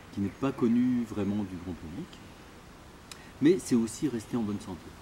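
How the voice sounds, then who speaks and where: A man with a fairly low pitch and a dark, mellow, somewhat breathy tone talks at a moderate pace, his pitch varying normally and his loudness swinging widely. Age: 60s. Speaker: doctor. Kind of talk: interview. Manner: hesitant, many fillers.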